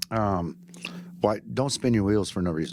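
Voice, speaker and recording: A man's fairly low, dark and mellow voice at a moderate pace, in an American accent. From Texas, Fort Worth area. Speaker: chef and restaurant owner. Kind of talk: casual interview. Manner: animated.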